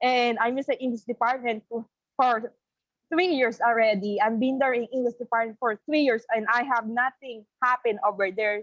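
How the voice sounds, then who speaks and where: A woman speaks with a Filipino accent. Her pitch is high and her pace moderate. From Philippines. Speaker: college student. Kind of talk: testimony. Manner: halting.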